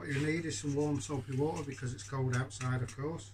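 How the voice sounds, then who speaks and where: There is light background noise. A man speaks with fairly even intonation. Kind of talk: tutorial. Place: workshop. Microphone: phone near.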